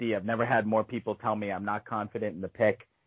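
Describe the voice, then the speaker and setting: Talking at a fairly quick pace, a man uses a medium pitch. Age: 30s. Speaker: podcast host. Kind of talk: casual chat.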